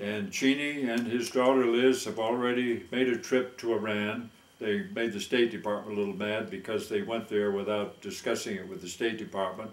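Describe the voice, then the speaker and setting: Medium pitch from a man at a moderate pace, with ordinary pitch variation, hardly any pauses and audible room echo. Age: 80s+. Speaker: war veteran. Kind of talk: satirical monologue.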